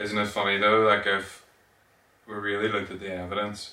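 With a Northern Irish accent, a man speaks fairly slowly in a fairly low, flat monotone, with audible room echo. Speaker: podcast co-host. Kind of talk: casual chat.

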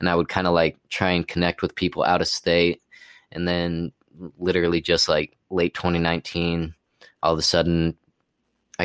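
Very deep and low, a man's voice carries an American accent in monotone, flat intonation at a moderate pace. The recording is very clean, with a silent background. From Utah, US. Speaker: rapper. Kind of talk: casual interview. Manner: casual, laid-back.

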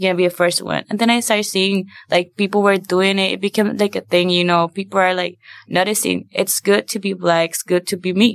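A woman speaks with a Spanish accent at a medium pitch. Her delivery is fairly quick, with monotone, flat intonation. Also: dry, close sound with no echo. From Puerto Rico. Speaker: university student. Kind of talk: podcast interview.

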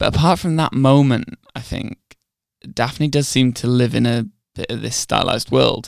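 With an ordinary speaking voice, a man talks at medium pitch and a moderate pace with ordinary pitch variation. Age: 20s. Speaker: film podcast co-host. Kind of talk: casual chat.

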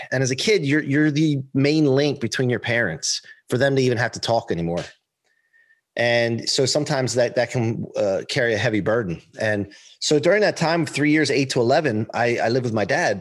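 Over a silent background in a very clean recording, a man talks at a fairly quick pace with medium pitch, lively intonation and very even loudness. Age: 40s. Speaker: performance coach and motivational speaker. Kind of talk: interview. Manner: animated.

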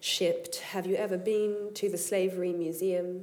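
A woman with a dark, mellow tone speaks at a moderate pace. Her pitch is medium and her intonation monotone and flat. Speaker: writer, artist and facilitator. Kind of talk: workshop talk and poetry reading.

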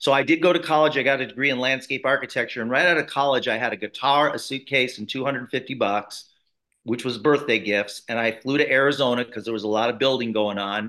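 Fairly quick and bright, sharp in tone, a man with an American accent talks at medium pitch with ordinary pitch variation, on a very clean recording with a silent background. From US Midwest, Chicago south suburbs. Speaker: network marketer and author. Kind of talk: interview conversation.

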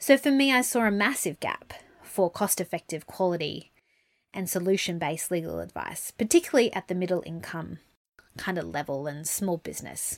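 A woman's fairly low voice with an Australian accent, fairly quick in pace, in a dry, close sound with no echo. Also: lively intonation, very clean recording, silent background. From Brisbane, Australia. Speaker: lawyer and podcast host. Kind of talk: casual monologue.

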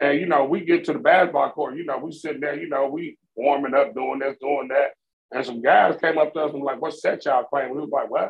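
A man talks at a very fast pace. His pitch sits fairly high, and his intonation stays fairly even. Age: 50s. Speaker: podcast co-host. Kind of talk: casual chat.

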